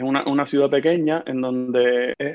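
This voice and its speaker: The speaker has a Havana Cuban accent. The intonation stays monotone and flat. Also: man. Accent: Havana Cuban Spanish, slowed down on purpose. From Cuba, Havana. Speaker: psychiatrist. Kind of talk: interview conversation. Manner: fast, clipping words.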